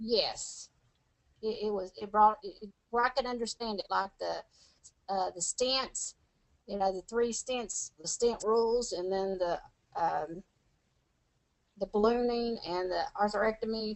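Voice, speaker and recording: A woman with a fairly high voice speaks at a fairly slow pace, leaving long, frequent pauses. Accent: Tennessee. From Tennessee. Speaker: medical coding student. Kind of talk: interview answer. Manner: energetic, bubbly.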